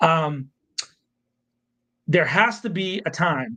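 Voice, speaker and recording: This man has a high voice and an animated tone, with ordinary pitch variation. The background is quiet. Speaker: podcast co-host and media producer. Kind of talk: live podcast discussion. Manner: loud, yelling; animated, heated.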